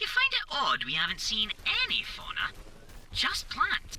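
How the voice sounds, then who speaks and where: A put-on character voice at a moderate pace, with clear background noise. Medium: machinima. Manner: precise, matter-of-fact.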